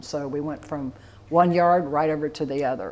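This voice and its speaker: This woman has a Florida accent and a very deep, low pitch, speaking at a moderate pace with fairly even intonation. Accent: Southern US (Florida). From Florida, DeLand. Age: 60s. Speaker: funeral home owner. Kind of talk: oral history interview.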